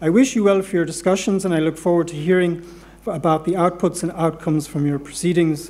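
A man with an Irish accent talks very fast in a high pitch with a dark, mellow tone and fairly even intonation. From Ireland. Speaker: law centre director, professor. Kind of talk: welcome address. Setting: stage with audience. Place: hall. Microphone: podium.

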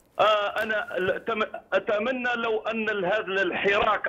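Against noticeable background noise, a high-pitched man with an Algerian accent speaks with ordinary pitch variation. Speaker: lawyer and human rights activist. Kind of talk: political talk show debate.

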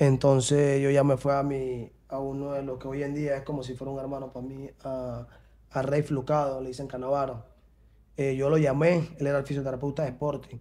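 Speaking with a Panamanian accent, a man with a dark, mellow tone and a fairly high pitch talks at a moderate pace in a monotone, flat intonation. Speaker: professional footballer; interview guest. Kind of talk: interview. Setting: studio. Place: studio. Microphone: studio mic.

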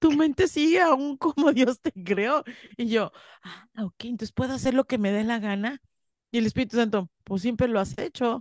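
A woman's high-pitched, animated voice with lively intonation over a quiet background. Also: moderate pace, dry sound with no echo. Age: 50s. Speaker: spiritual teacher. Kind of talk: interview. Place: home room. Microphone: studio mic.

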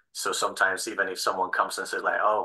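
Over a quiet background, a man with a Spanish accent speaks at a very fast pace. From Spain. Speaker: assistant film editor; speaker. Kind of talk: panel discussion. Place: home room. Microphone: video call.

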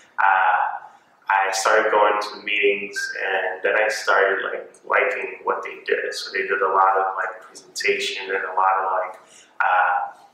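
The speech moves at a fairly slow pace, with strong room echo. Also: man. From Cape Verde. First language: Cape Verdean Creole. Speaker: university student. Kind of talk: interview answer. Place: hall.

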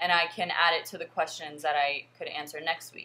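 Over light background noise, a woman with a fairly low pitch and a bright, sharp tone talks at a fairly slow pace with fairly even intonation. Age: 20s. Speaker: vlogger and fitness coach. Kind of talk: casual vlog monologue. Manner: hesitant with frequent fillers. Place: home room. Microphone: webcam.

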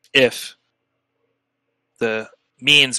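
A man uses a put-on character voice. It sounds gravelly. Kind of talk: solemn fantasy elder. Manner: measured, courteous, grave.

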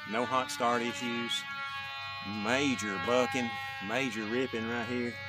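With music in the background, the speech moves at a fairly slow pace with ordinary pitch variation. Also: man. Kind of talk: casual demo commentary. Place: open country.

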